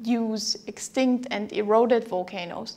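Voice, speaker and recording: A woman is speaking. Her pace is fairly slow. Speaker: university geology lecturer. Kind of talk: lecture. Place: studio. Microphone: lapel.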